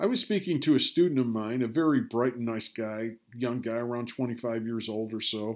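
Over a very clean recording with a silent background, a man in an ordinary speaking voice talks at a fairly quick pace and medium pitch, with ordinary pitch variation and hardly any pauses. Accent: American. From Rochester, New York. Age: 60s. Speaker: podcaster. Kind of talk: scripted narration.

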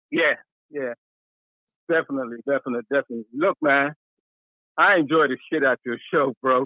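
A man with a fairly high voice talks at a fairly quick pace with ordinary pitch variation, stopping for long, frequent pauses. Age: 60s. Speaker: caller, military veteran. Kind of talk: casual chat. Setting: phone call. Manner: animated.

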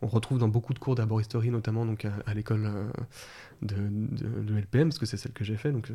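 There is a somewhat breathy quality to the man's voice. His tone is dark and mellow. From France, Lyon area. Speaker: herbalist. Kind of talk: interview conversation. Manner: halting, repeats words.

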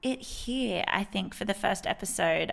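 A woman with an Australian accent speaks with very wide pitch swings. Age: 20s. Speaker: podcast host and consultant. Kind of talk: casual solo chat. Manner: animated.

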